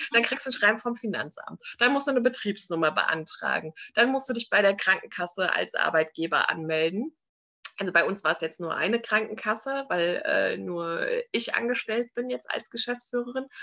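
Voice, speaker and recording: A woman talks at a moderate pace in an ordinary speaking voice. Her pitch is fairly high and her intonation is lively. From Frankfurt am Main, Hesse. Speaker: entrepreneur and mother. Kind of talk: interview.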